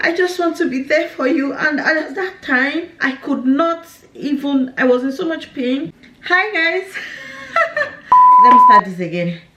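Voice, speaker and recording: A woman at a fairly slow pace, amid noticeable background noise. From Nigeria. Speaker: lifestyle YouTuber. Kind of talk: personal vlog, life update.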